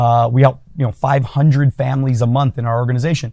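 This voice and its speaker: This man's tone is dark and mellow. There is a somewhat breathy quality to it. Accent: American. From California. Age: 40s. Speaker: entrepreneur and business coach. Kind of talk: casual interview.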